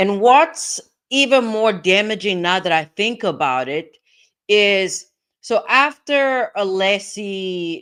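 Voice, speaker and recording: Her intonation is lively while she speaks at a very slow pace. The woman's recording is very clean, with a silent background. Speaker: legal commentary streamer. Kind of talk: live stream commentary. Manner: slow, drawn-out words; hesitant, many fillers.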